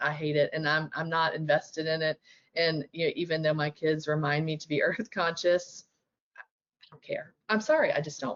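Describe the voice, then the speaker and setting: At a moderate pace, a woman with a normal speaking voice talks at a fairly low pitch with ordinary pitch variation. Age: 50s. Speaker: special education presenter. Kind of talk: webinar presentation. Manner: casual, conversational.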